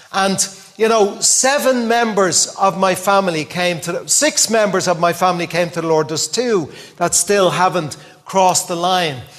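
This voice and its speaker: A man with a Dublin accent talks at a moderate pace in a high pitch with ordinary variation. Noticeable background noise runs beneath him. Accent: Dublin Irish. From Dublin, Ireland. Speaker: visiting preacher. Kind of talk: sermon sharing personal testimony. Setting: church with congregation.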